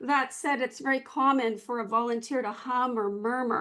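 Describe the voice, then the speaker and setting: Against a quiet background, a woman with a high pitch speaks at a moderate pace. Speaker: academic lecturer and NICU volunteer. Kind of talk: conference talk. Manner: halting, many fillers.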